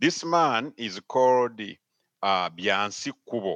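A man with a medium-pitched voice and a bright, sharp tone talks at a very slow pace, recorded dry and close with no echo against a quiet background. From Uganda. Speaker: pastor. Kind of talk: interview.

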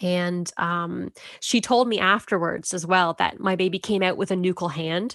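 In an ordinary speaking voice, a woman of medium pitch talks at a fairly slow pace with ordinary pitch variation, the sound dry and close with no echo against a quiet background. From Canada. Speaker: mother sharing birth story. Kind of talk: testimony.

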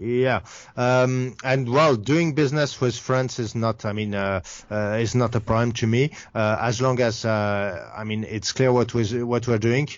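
A man speaks at a fairly slow pace in a French accent, his medium pitch held to a fairly even intonation. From France. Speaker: game studio founder. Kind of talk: casual interview. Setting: remote call. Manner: halting, many fillers.

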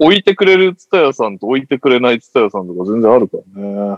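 In a dry, close sound with no echo, a man talks very fast at a medium pitch. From Tokyo. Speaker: podcast host. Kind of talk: casual chat.

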